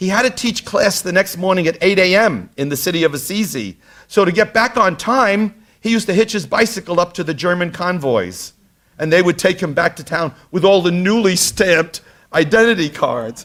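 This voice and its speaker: The recording is very clean, with a silent background. A man with a high pitch speaks in a Brooklyn accent. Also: ordinary pitch variation, moderate pace. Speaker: tour guide or lecturer on history. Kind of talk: lecture. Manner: halting, many fillers.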